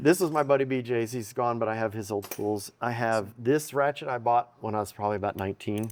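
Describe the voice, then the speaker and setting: At a fairly quick pace with hardly any pauses, a man talks in a medium pitch with ordinary pitch variation. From Texas, Odessa. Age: 50s. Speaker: mechanic. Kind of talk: shop tour chat. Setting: workshop.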